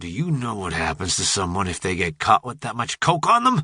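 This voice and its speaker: In a put-on character voice, a man growls with a fairly low pitch and very wide pitch swings. He talks at a fairly quick pace. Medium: read story. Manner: blunt, menacing.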